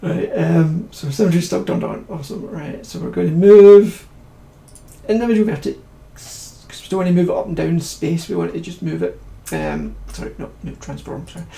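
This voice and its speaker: The speaker mumbles, with loudness that swings widely and a room echo you can clearly hear. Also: man. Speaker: 3D modelling tutor streaming. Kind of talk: live-streamed software tutorial. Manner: mumbling; fast, hurried.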